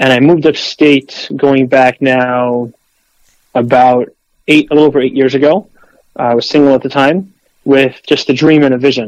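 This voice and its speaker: A man with an American accent and a normal speaking voice, medium in pitch, at a moderate pace, with fairly even intonation and very even loudness. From Queens, New York. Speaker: farmer and pizza shop owner. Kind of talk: interview. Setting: phone call.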